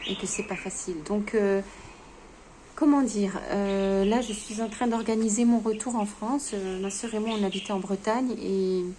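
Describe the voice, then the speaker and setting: A woman speaks at a fairly slow pace and medium pitch with fairly even intonation. Noticeable background noise and audible room echo are present. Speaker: vlogger sharing grief testimony. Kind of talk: unscripted personal vlog testimony. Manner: halting, many hesitations and stammers.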